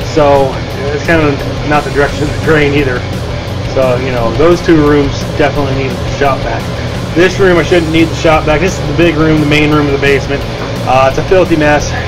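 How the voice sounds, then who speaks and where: A man moves along at a fairly quick speed as music plays behind him. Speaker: home DIY vlogger. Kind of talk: casual vlog chat. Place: home room. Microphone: phone near.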